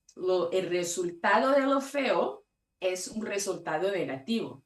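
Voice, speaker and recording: A woman with a Brazilian accent, at a very slow pace with very wide pitch swings. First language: Portuguese (speaking Spanish). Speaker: conference speaker on patient safety. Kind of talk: conference talk.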